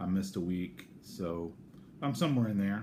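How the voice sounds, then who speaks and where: Spoken with an American accent, the voice carries audible room echo. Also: man. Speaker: vlogger sharing weight-loss surgery progress. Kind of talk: casual video diary. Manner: halting, many fillers.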